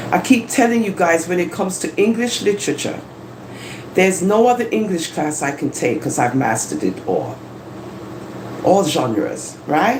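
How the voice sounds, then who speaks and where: Spoken with an animated tone at a moderate pace, the clip has long, frequent pauses and noticeable background noise. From London, England. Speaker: live-stream host. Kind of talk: live stream monologue. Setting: home live stream, living room.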